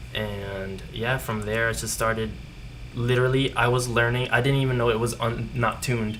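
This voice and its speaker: In a room with audible echo, a man talks at a moderate pace in a medium pitch with monotone, flat intonation. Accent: Spanish. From Puerto Rico and Florida. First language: Spanish. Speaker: guest musician. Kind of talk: casual chat.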